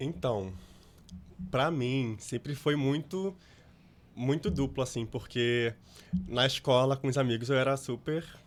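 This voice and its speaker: At a fairly slow pace, a man of medium pitch speaks with long, frequent pauses. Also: ordinary pitch variation. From Brazil, Rio de Janeiro. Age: 20s. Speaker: actor and content creator. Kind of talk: interview. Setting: studio.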